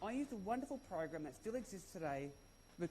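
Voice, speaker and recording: A man speaks very fast with an Australian accent. His tone is dark and mellow. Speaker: conference speaker, former schoolteacher. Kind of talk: conference talk. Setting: stage with audience.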